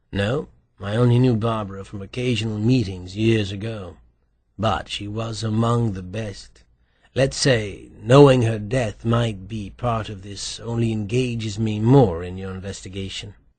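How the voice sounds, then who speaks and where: In a husky put-on character voice with fairly even intonation, the speaker goes at a moderate pace with big swings in loudness against a quiet background. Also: man, fairly low pitch for a man. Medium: read story. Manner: urbane, dry wit.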